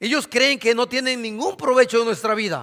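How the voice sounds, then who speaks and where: A man talks with a bright, sharp tone. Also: very clean recording, silent background. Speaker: pastor. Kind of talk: sermon.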